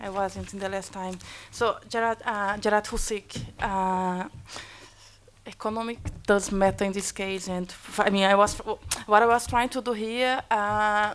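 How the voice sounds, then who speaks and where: Speaking at a fairly slow pace with a Portuguese accent, a woman keeps a medium pitch and a monotone, flat intonation. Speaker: academic panelist. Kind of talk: panel debate answer. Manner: halting, many repetitions.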